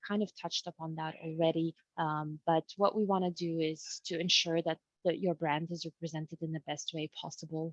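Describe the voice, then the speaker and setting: With a non-native accent, a woman speaks at a fairly quick pace in a fairly low pitch. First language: not English. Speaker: webinar presenter. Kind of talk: webinar presentation. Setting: video call. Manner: halting.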